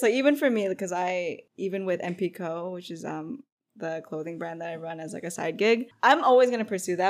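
Heard in a very clean recording with a silent background, a woman with a plain, everyday voice and an American accent talks at a fairly quick pace with ordinary pitch variation. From United States (Filipino American). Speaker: podcast co-host. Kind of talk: casual chat.

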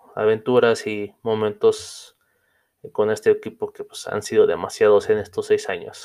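Talking at a fairly slow pace, a man lets his loudness swing widely. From Mexico City. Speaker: podcast host. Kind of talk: casual monologue. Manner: halting, many fillers.

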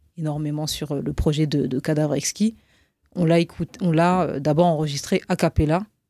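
A woman's very deep, low voice with a dark, mellow tone, fairly even intonation and a fairly slow pace, dry and close with no echo, on a very clean recording with a silent background. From northern France, Roubaix. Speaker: rapper. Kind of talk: interview conversation. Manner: hesitant, many repetitions; soft, precise diction.

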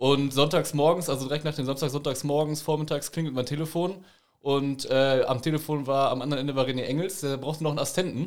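The recording is very clean, the background silent. A man's very fast speech keeps a fairly even intonation. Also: fairly high pitch for a man. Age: 20s. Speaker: amateur football referee. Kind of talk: casual chat.

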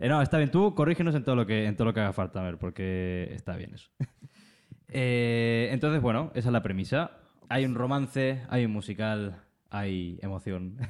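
This man has an unremarkable speaking voice with a medium pitch. He talks at a moderate pace with lively intonation. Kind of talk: casual chat, livestream. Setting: live stream with chat.

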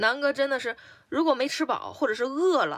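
The tone is bright and sharp. Delivery holds a moderate pace. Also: woman. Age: 30s. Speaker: podcast co-host. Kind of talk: casual chat.

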